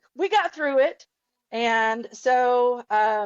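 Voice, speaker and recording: This woman speaks with a Southern US accent. Her pitch varies in an ordinary way. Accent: Southern twang. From Ozarks, Arkansas. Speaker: podcast guest, archer, cancer survivor. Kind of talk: casual interview chat.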